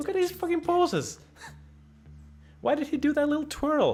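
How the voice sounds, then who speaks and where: A man talking at a moderate pace with music in the background. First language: Finnish. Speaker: gaming streamer. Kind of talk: casual gameplay commentary. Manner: animated.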